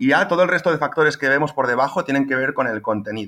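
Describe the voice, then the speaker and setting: A man speaks very fast in a fairly high pitch, his tone bright and sharp. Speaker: SEO specialist. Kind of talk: casual panel chat about SEO. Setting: at parents' home in a small village.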